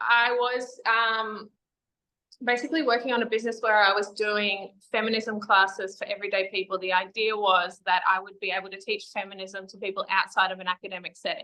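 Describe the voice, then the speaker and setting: Someone with an Australian accent speaks at a moderate pace in a bright, sharp tone. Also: woman. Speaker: feminist educator and activist. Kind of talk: interview.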